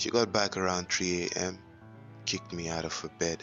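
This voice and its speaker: Music plays in the background. A man with a very deep, low pitch speaks at a moderate pace. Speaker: voice actor. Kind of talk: horror story narration. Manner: dramatic, enthusiastic.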